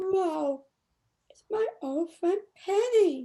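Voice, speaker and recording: A woman's squeaky put-on character voice, extremely high in pitch, with lively intonation. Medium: read story. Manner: warm and friendly.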